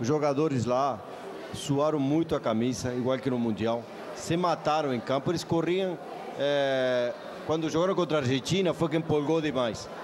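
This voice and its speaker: Amid noticeable background noise, a man with a fairly high pitch talks at a moderate pace, his loudness very even and his pitch variation ordinary. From Uruguay. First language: Spanish (speaking Portuguese). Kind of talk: panel debate.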